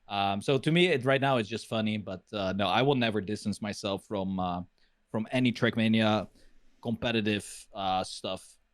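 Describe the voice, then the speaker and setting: In a very clean recording with a silent background, a man with a non-native accent and a fairly low pitch speaks at a moderate pace with ordinary pitch variation. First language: not English. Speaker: retired esports pro and caster. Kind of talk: interview. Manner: hesitant, many fillers.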